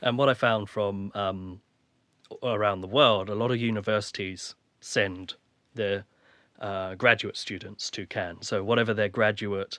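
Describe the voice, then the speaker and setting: A man with an English accent, fairly low-pitched and bright, sharp, at a moderate pace with fairly even intonation, in dry, close sound with no echo and a quiet background. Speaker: filmmaker. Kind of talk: casual chat.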